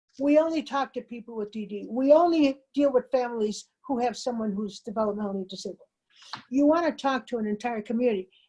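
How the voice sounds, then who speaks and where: A woman's high, dark and mellow voice at a fairly quick pace, with ordinary pitch variation. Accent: American. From Chicago, US Midwest. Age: 70s. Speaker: community organizer. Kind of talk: keynote speech with Q&A. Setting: webinar. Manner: animated.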